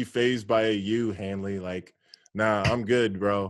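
A man speaks at a fairly slow pace in an animated tone. The recording is very clean, with a silent background. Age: 30s. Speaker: former pro baseball player. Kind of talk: casual chat.

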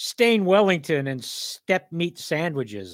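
Speaking at a very slow pace, a man keeps his intonation lively. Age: 60s. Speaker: poet and podcast host. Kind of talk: reading aloud. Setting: studio.

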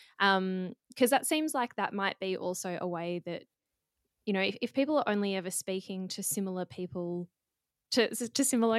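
Someone with an Australian accent speaks at a fairly quick pace with ordinary pitch variation, the sound dry and close with no echo. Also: woman. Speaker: podcast co-host. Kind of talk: casual interview chat.

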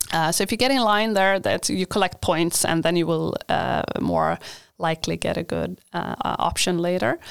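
In a very clean recording with a silent background, a woman with a Swedish accent speaks at a moderate pace with very even loudness. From Sweden. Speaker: university international coordinator. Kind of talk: interview. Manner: halting.

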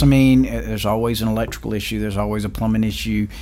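A man with a South Carolina accent speaks over noticeable background noise, with audible room echo. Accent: Southern US (South Carolina). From US South, rural South Carolina. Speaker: hospital chief executive. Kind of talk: interview. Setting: studio. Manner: hesitant, many fillers and repeats.

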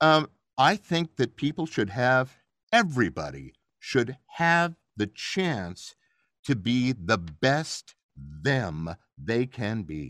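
Pitch swings very widely as a man talks at a very slow pace, recorded dry and close with no echo. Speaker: actor and voice actor. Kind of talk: casual interview. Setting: video call.

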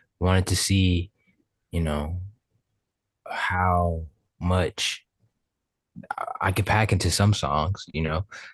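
Speaking very slowly with long, frequent pauses, a man with a very deep, low pitch and an American accent sounds somewhat breathy and delivers everything in a flat monotone. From Florida. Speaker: rapper. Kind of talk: casual interview.

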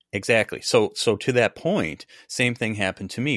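A man with an Upper Midwest accent talks at a moderate pace, the sound dry and close with no echo on a very clean recording with a silent background. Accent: Upper Midwest American. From US Midwest. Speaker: podcast host. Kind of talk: casual interview conversation.

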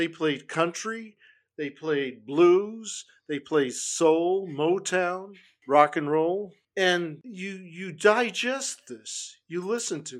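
In an American accent, a man with a high pitch talks very slowly, with ordinary pitch variation and big swings in loudness, on a very clean recording with a silent background. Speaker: musician and podcaster. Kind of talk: casual chat.

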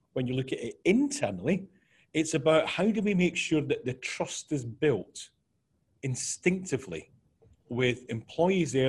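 A man speaks at a moderate pace in a fairly high, somewhat breathy voice with lively intonation. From Scotland. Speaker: business consultant. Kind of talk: podcast interview.

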